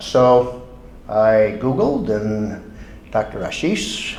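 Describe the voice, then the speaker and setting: A man speaks with an American accent. The room echo is audible and the background noise is noticeable. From United States. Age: 70s. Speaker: patient, retired marine. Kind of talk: testimony. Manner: halting.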